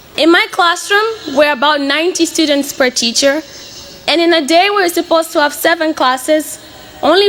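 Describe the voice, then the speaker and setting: Against noticeable background noise, a woman with an extremely high pitch speaks at a moderate pace, keeping a very even loudness and ordinary pitch variation. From Mozambique, Beira. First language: Portuguese. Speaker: college student. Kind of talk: speech.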